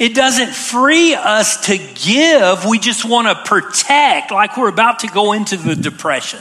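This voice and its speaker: Fairly slow speech with hardly any pauses over noticeable background noise. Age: 50s. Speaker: pastor. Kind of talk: sermon. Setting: church.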